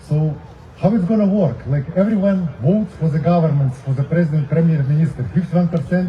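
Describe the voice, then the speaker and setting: A non-native accent over noticeable background noise. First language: not English. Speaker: protest speaker. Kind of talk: rally speech.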